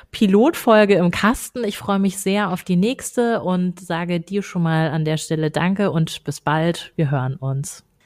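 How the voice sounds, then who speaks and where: In an ordinary speaking voice, a woman talks at a moderate pace and medium pitch with lively intonation. The recording is very clean, with a silent background. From Baden-Württemberg, small town. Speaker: podcast co-host, communications manager. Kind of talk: casual chat. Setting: office.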